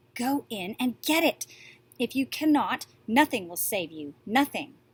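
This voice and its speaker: Her voice climbs high. The woman is doing a put-on character voice. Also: moderate pace. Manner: urgent, warning.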